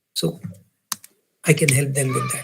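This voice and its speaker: A man talks in a raised, projected voice. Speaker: business coach and workshop speaker. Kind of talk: workshop lecture. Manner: animated, conversational.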